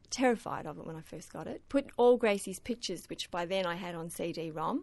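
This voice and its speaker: A woman with an Australian accent, medium pitch, lively intonation, a fairly quick pace and big swings in loudness. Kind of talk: radio interview.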